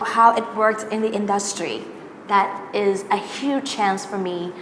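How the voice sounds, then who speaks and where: A woman speaks at a medium pitch with fairly even intonation, heard with audible room echo and noticeable background noise. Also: fairly slow pace. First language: Thai. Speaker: singer and singing teacher. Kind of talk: interview. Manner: halting, many fillers.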